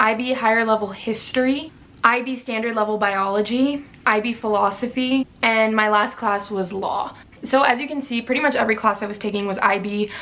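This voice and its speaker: A woman speaks at a fairly quick pace in a fairly high pitch, with fairly even intonation over noticeable background noise. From Maryland, US. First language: Spanish. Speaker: student vlogger. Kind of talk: casual vlog talk.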